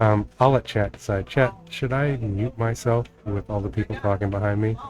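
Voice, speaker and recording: In an American accent, a man with fairly low pitch talks at a moderate pace with fairly even intonation. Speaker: game modder streamer. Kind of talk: casual live stream chat. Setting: home live stream, family in kitchen. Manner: hesitant, many fillers.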